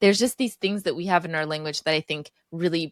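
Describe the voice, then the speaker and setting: A woman's very deep, low voice with a Texas accent, ordinary pitch variation, and a dry, close sound with no echo on a very clean recording with a silent background. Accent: American, Texas. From Texas, US (Iranian-born). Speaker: language teacher. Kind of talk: podcast interview.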